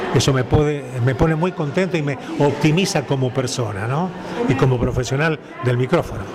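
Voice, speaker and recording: Against noticeable background noise and audible room echo, a man with a fairly high pitch talks at a fairly quick pace. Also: ordinary pitch variation. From Argentina, Santa Fe province. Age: 80s+. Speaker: veteran radio announcer. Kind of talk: interview conversation. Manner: formal.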